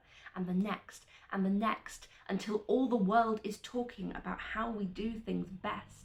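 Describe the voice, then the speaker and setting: A woman with a somewhat breathy, fairly high voice varies her pitch in an ordinary way. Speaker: veterinary student. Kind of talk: spoken word poetry performance.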